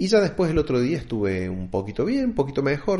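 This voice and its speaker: A man with a somewhat breathy voice. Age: 40s. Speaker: podcaster. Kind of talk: solo podcast monologue.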